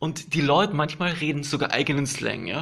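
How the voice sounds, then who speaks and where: A man talks at a moderate pace in a relaxed tone. His intonation is fairly even. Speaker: podcaster. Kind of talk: casual monologue. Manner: halting, many fillers.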